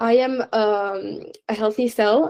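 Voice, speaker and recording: Her pitch is fairly high for a woman. The woman's tone is dark and mellow. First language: not English. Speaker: science presenter. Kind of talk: presentation Q&A. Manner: hesitant, many fillers.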